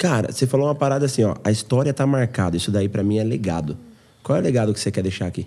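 Speaking at a very fast pace, a man with a dark, mellow tone and fairly low pitch keeps his intonation lively. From interior of São Paulo state, Brazil. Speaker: podcast host. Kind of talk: casual interview chat. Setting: host's home.

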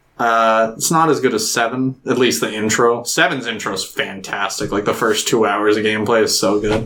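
At a moderate pace with hardly any pauses, a man talks in a medium pitch with ordinary pitch variation over noticeable background noise. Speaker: podcast co-host. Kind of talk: casual chat.

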